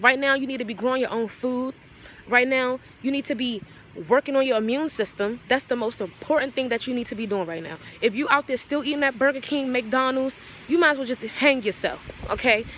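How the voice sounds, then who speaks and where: Over noticeable background noise, a woman speaks at a fairly quick pace in an animated tone, with a high pitch and ordinary pitch variation. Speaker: vlogger. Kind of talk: casual rant to camera. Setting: outdoors in backyard.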